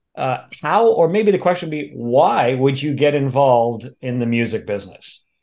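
Speaking at a moderate pace with hardly any pauses, a man uses an unremarkable speaking voice of medium pitch and lively intonation. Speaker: music podcast host.

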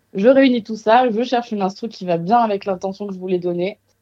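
A woman has an ordinary speaking voice. She talks at a fairly quick pace with ordinary pitch variation. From Marseille, southern France. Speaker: singer-songwriter. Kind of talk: interview.

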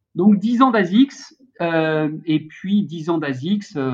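A man is speaking. His intonation is lively. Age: 50s. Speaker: sports industry trade association head. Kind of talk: casual interview.

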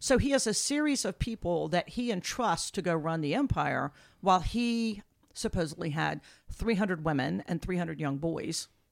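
A woman's fairly low voice with vocal fry, very wide pitch swings and a moderate pace. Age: 60s. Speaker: archaeologist. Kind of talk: casual lecture-style chat.

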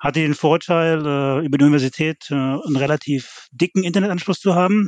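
A man with a normal speaking voice talks at a fairly quick pace in a fairly high pitch. His intonation is fairly even, and the sound is dry and close with no echo. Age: 50s. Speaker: fan website founder. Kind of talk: casual chat.

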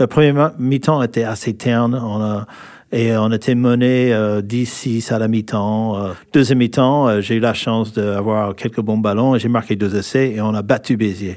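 A man with an American accent at a fairly slow pace and medium pitch, with fairly even intonation, on a very clean recording with a silent background. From California, US. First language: English (speaking French). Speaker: former rugby player. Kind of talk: interview. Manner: halting.

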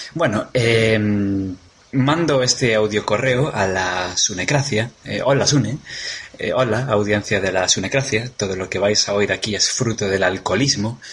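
Against noticeable background noise, a man with a Galician accent speaks at a fairly slow pace and fairly low pitch, with ordinary pitch variation. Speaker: podcaster. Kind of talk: recorded audio message.

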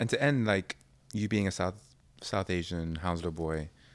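With a British accent, a man speaks at a very deep, low pitch. The recording is very clean, with a silent background. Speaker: podcast host. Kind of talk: interview. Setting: live event with audience.

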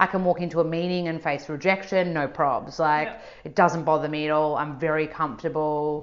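Barely pausing, a woman with an Australian accent talks at a fairly quick pace in a very deep, low pitch. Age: 30s. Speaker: nutritionist, author and yoga teacher. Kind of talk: casual chat. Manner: animated.

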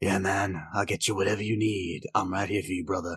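A man puts on a raspy character voice, talking at a fairly quick pace in a fairly low, monotone, flat pitch with very even loudness. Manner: buddy-buddy.

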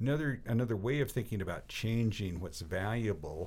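Somewhat breathy, a man with a fairly low pitch talks at a moderate pace with lively intonation. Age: 60s. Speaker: cycling coach. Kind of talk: casual chat.

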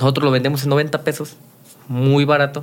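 A man with a normal speaking voice, fairly high in pitch, at a moderate pace. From Mexico, Guanajuato. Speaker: youtuber and entrepreneur. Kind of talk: interview.

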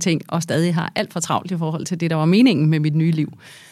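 In a very clean recording with a silent background, a woman uses an ordinary speaking voice, fairly low in pitch, at a fairly quick pace with fairly even intonation. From Denmark, Herlev (Copenhagen area). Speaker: business executive and board member. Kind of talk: interview.

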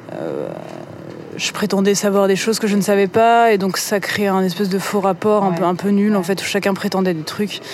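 A woman speaks in a medium pitch at a moderate pace with monotone, flat intonation over noticeable background noise. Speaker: novelist and musician. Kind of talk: interview conversation. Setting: brasserie at night. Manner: halting, many hesitations and repetitions; voice rises higher when lying.

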